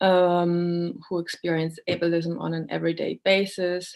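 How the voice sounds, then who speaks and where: A woman speaks with a fairly low pitch. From Germany, born in Poland. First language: Polish or German. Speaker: accessibility trainer and speaker. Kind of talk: online lecture. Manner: halting, many fillers.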